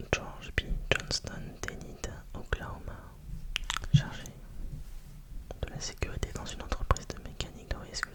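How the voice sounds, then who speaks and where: Amid clear background noise, a whispered voice moves fairly slowly, often falling silent for long spells. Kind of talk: whispered ASMR reading aloud to help sleep. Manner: whispered, very quiet.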